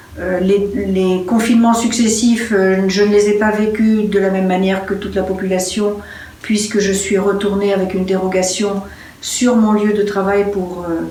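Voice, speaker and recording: A woman talks at a fairly slow pace and medium pitch in a monotone, flat intonation, with noticeable background noise and audible room echo. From France. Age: 70s. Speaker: interviewee. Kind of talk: personal testimony. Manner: hesitant, many fillers.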